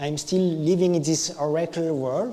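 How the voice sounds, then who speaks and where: A man with a French accent speaks at a high pitch. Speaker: IT engineer / conference speaker. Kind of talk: tech meetup talk. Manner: improvised, halting.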